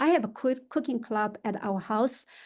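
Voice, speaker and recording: A woman with a Chinese accent speaks at a fairly slow pace in a fairly high pitch, against a quiet background. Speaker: real estate agent. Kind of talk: podcast interview. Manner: halting, many fillers.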